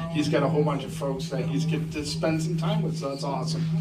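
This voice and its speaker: Loud background noise surrounds a man as he talks. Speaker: pastor. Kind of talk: church welcome and prayer. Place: church.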